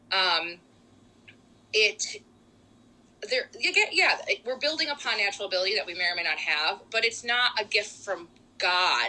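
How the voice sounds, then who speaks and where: A woman speaks at a moderate pace with lively intonation and a fairly high pitch. Her speech has long, frequent pauses. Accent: Rochester. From western New York (Rochester area). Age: 20s. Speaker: singer and speech pathology student. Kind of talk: casual chat.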